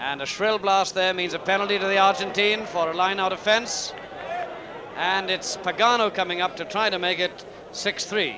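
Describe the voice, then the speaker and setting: The voice is raised and projected. Noticeable background noise is present. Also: man, high pitch for a man. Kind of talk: live sports commentary, rugby match broadcast. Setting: outdoors at a rainy stadium, archive broadcast. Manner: fast, clipped, excitable play-by-play, rattling off player names; dry, opinionated, slightly sardonic asides.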